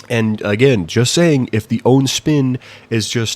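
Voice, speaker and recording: A mumbling man. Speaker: YouTube commentator. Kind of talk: opinion rant. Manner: halting.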